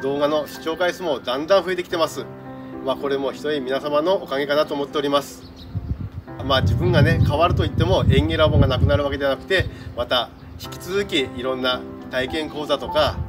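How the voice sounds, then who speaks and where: Clear music plays in the background as a man speaks. He talks at a fairly quick pace with a Fukui accent. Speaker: staff member of a prefectural horticulture facility. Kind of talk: farewell announcement to camera. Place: garden. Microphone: camera far.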